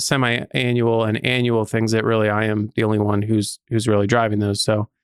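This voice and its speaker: A man with an unremarkable speaking voice on a very clean recording over a silent background. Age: 30s. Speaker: podcast host and property management company CEO. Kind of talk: casual interview conversation.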